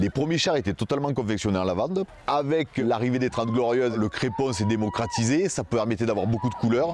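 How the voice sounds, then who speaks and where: With lively intonation, a man of medium pitch talks at a fairly quick pace with hardly any pauses. His loudness stays very even over noticeable background noise. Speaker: local festival float builder. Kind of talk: documentary interview.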